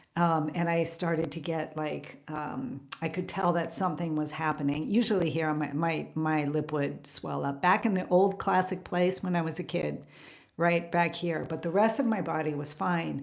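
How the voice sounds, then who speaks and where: A woman with a fairly low pitch talks at a moderate pace. Room echo is audible. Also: ordinary pitch variation. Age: 60s. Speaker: carnivore diet coach and vlogger. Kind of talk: casual chat. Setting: live stream. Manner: halting.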